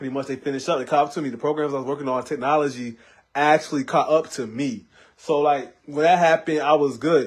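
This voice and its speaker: Very fast pace from a man with a fairly high pitch against a quiet background. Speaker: rapper livestreaming to fans. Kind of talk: casual livestream chat. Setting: Facebook live stream. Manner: hyper, halting with repeated words.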